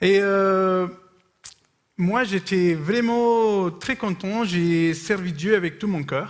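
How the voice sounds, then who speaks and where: A man with a non-native accent, a high pitch and ordinary pitch variation, talking at a very slow pace. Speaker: missionary speaker. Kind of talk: sermon with consecutive interpretation. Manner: short phrases with pauses for interpreter; hesitant, with fillers.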